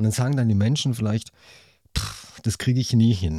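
Recorded very cleanly against a silent background, a man's dark, mellow tone comes through dry and close with no echo. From Hesse, near Frankfurt. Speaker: podcast host. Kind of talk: interview.

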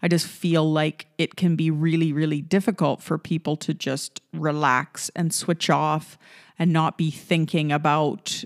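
In a very clean recording with a silent background and a dry, close sound with no echo, a woman speaks fairly slowly at a very deep, low pitch with fairly even intonation. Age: 40s. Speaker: podcast host. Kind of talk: solo podcast monologue. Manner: frequent fillers and hesitations.

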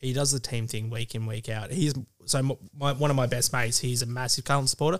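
Speaking at a very fast pace, a man with an Australian accent keeps a medium pitch and fairly even intonation. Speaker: guest footy fan. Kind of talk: casual chat. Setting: studio.

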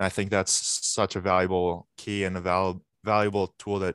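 In a dry, close sound with no echo, a man with an American accent speaks at a moderate pace in a very deep, low, monotone, flat voice. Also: quiet background. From Massachusetts. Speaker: college hockey player. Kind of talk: casual interview.

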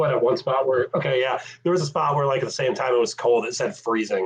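A man's somewhat breathy voice, fairly high in pitch, at a fairly quick pace with ordinary pitch variation. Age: 30s. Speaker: paranormal investigator and web series creator. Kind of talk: casual interview chat.

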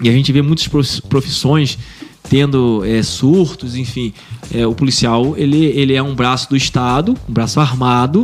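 Over background music, a man at medium pitch talks at a moderate pace with ordinary pitch variation. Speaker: military police captain. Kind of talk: casual interview.

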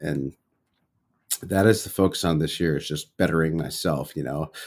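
The pace is moderate. The tone is relaxed. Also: man, very clean recording, silent background. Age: 30s. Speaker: podcast host in recovery from alcohol. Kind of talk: solo personal check-in. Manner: relaxed, with many fillers.

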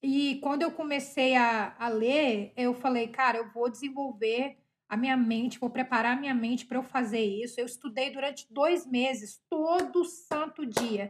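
High-pitched woman at a moderate pace. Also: ordinary pitch variation. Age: 30s. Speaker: podcast host, mother. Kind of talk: casual monologue.

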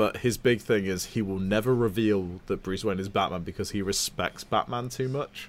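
This man has a normal speaking voice, pitched fairly low, with fairly even intonation. He keeps a moderate pace with hardly any pauses. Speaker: podcast co-host. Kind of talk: casual chat.

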